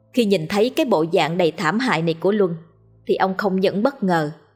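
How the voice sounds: Natural-sounding reading voice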